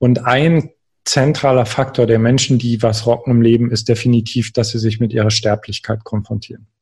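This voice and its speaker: A somewhat breathy, monotone delivery with flat intonation at a moderate pace. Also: man, medium pitch for a man. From eastern Germany, Görlitz (Saxony). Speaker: life coach and author. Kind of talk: interview. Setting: home office, remote call.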